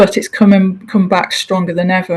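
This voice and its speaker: Delivered at a moderate pace in a Hull accent, the speech has monotone, flat intonation. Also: woman. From northern England, Hull. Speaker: transport executive. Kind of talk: interview. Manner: hesitant fillers.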